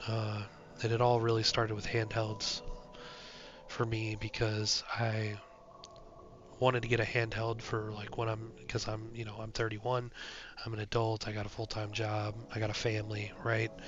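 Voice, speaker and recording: A man with a medium-pitched, somewhat breathy voice speaks at a moderate pace in a monotone, flat intonation, broken by long, frequent pauses. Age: 30s. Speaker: gaming youtuber. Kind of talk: casual vlog monologue. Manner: hesitant, many fillers.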